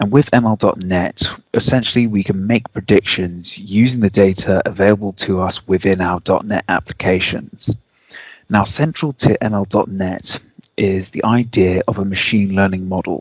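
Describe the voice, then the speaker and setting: A man in a British accent speaks at a moderate pace, fairly low in pitch, with fairly even intonation. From UK. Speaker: software engineer. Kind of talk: technical presentation.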